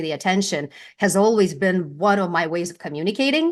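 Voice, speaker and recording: Against a quiet background, a woman with a Lithuanian accent talks at a fairly quick pace. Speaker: brand presence strategist, former news anchor. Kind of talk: interview.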